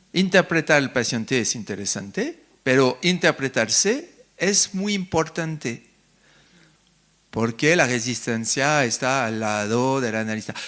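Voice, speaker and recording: A man with a French accent speaks at a fairly slow pace in a medium pitch, his tone bright and sharp and his intonation lively. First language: French (speaking Spanish). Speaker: psychoanalyst, invited lecturer. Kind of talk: lecture with questions from the audience. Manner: halting, searching for words.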